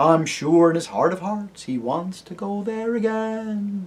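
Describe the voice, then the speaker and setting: Using a put-on character voice, a man speaks high in pitch at a fairly slow pace. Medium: read story.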